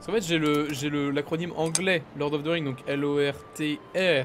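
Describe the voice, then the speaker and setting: This man's voice sits fairly high and his intonation stays fairly even. He talks at a moderate pace with music in the background. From France, Mayenne (Pays de la Loire). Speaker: streamer. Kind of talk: live stream chat. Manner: halting.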